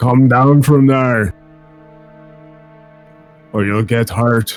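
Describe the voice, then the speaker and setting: A man speaks in a put-on character voice, booming at a medium pitch. The pace is very slow, with faint music in the background. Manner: commanding, threatening.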